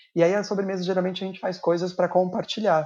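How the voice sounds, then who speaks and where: A man talks at a high pitch. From São Paulo, Brazil (Guarulhos). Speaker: pastry chef. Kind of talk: casual chat.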